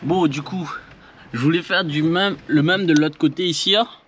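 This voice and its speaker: A man talks with a Réunion accent over noticeable background noise. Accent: Creole (Réunion). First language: Réunion Creole (speaking French). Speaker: DIY car repair vlogger. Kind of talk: tutorial. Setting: working on a car, filmed with action camera. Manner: halting, many fillers and repetitions.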